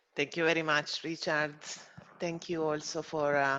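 The speaker has an Italian accent and keeps a moderate pace. The background is quiet. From Italy. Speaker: farmers organisation representative. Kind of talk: webinar moderation.

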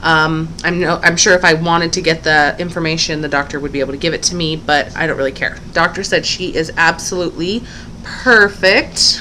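A woman talks at a fairly quick pace in a normal speaking voice, pitched fairly low. Her intonation is fairly even, with light background noise. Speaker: parent vlogger. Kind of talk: casual vlog chat. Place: home room. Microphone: webcam.

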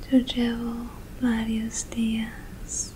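Soft-spoken and whispering, a woman goes at a very slow pace over light background noise. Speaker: ASMR creator. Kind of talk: ASMR positive affirmations. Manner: whispered; soft, affectionate. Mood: warm, affectionate. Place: home room. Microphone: studio mic.

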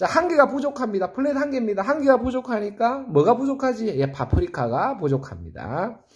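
A man speaks with an extremely high pitch and hardly any pauses. His tone is animated, his intonation lively, and the background quiet. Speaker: saxophone teacher. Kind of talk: tutorial. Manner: fast. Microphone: phone near.

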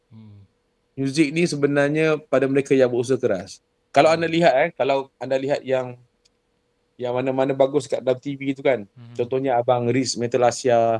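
The sound is dry with no echo over a quiet background as a man with a medium pitch and fairly even intonation speaks at a moderate pace, his loudness swinging widely. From Johor, Malaysia. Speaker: singer and vocal coach; vocal coach guest. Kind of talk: casual interview chat. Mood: relaxed, storytelling. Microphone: video call.

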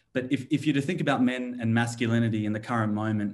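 A man speaks at a fairly quick pace. He has an ordinary speaking voice at medium pitch. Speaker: clinical psychologist. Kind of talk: panel discussion. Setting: video call.

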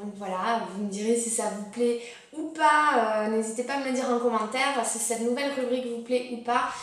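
A woman's voice carries audible room echo. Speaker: lifestyle vlogger. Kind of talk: casual vlog chat. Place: home room. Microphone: camera far.

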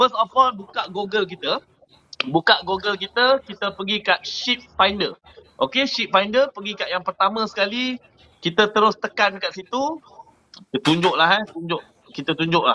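With a raised, projected voice, a man talks at a moderate pace, high in pitch with ordinary pitch variation, over light background noise. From Malaysia, Kuantan Pahang; Malaysia. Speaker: merchant navy officer; guest. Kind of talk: casual chat. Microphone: video call.

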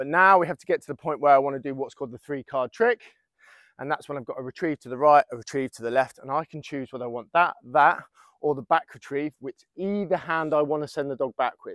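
A man talks at a very fast pace with big swings in loudness, ordinary pitch variation, and a dry sound with no echo against a quiet background. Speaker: dog trainer. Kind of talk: tutorial. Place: open country.

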